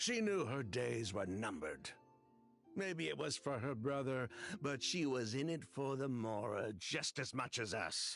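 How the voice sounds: A man's put-on character voice, medium in pitch and fairly bright in tone, with vocal fry, lively intonation and a fairly slow pace over faint background music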